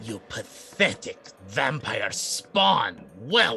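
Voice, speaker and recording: A man puts on a character voice with a fairly high pitch. He speaks at a very slow pace. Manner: hissing, contemptuous, snarling.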